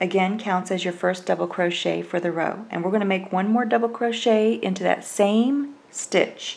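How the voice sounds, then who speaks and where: A woman with a Southern US accent talks in a calm tone at a fairly slow pace with ordinary pitch variation, amid noticeable background noise. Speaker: crochet instructor. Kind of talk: tutorial. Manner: calm, step-by-step instructional.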